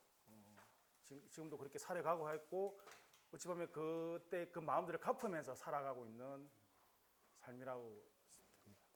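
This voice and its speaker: With lively intonation and big swings in loudness, a man with a fairly high voice speaks at a moderate pace, leaving long, frequent pauses. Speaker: school vice principal and lecturer. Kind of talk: lecture. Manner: halting, many fillers.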